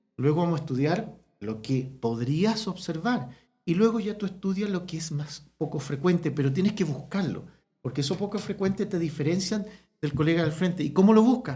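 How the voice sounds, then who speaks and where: A man's voice is high in pitch, with a dark, mellow tone. He speaks with lively intonation. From Chile, small town. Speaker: veterinary ophthalmologist. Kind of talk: casual interview chat. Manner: soft-spoken; fast.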